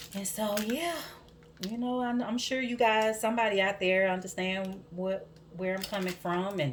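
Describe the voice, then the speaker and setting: With a strong Southern US accent, a woman speaks at medium pitch and a moderate pace, using ordinary pitch variation. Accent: thick southern accent, country twang. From US South, Georgia. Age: 40s. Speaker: soap maker and vlogger. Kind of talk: casual chat while working.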